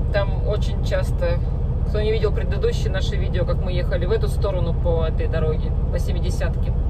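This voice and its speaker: Loud background noise sits behind the voice. A woman speaks at a moderate pace. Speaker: truck driver vlogger. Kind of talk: casual vlog chat. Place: car. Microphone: phone near.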